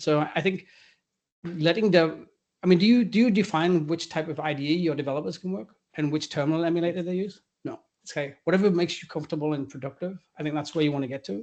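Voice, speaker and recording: A man talks very fast at a high pitch, with ordinary pitch variation and big swings in loudness. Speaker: AI technology executive. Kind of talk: fireside chat interview. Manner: casual, halting with restarts.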